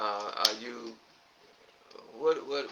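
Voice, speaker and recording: Very slow male speech against noticeable background noise. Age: 70s. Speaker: podcast host. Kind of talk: casual chat.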